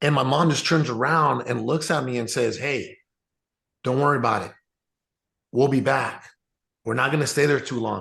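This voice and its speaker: Speaking at a moderate pace, a man in a Spanish accent keeps a medium pitch and fairly even intonation. He takes long, frequent pauses. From Mexico, raised partly in US Southwest. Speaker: real estate entrepreneur. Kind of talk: interview storytelling. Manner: casual, many fillers and repetitions.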